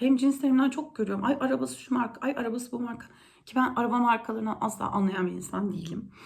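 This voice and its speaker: A woman speaks very fast at a fairly high pitch with ordinary pitch variation. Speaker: youtuber. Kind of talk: casual monologue.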